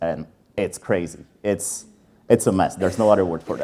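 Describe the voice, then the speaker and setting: A man talks at a moderate pace with a Czech accent. His tone is dark and mellow. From Czech Republic. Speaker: sales enablement leader. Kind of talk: conference talk. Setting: stage with audience.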